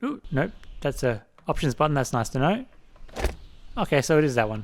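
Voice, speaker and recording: A man with an Australian accent mumbles at a fairly quick pace. His pitch sits fairly high and his intonation is lively. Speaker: let's play gamer. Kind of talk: gameplay commentary. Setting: home computer at dining table. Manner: mumbling.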